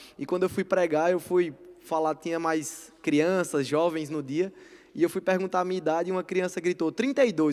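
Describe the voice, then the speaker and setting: This man's pitch is high. He speaks at a moderate pace. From Brazil, Northeast (Paraíba). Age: 20s. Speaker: preacher. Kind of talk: sermon. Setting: church service with congregation.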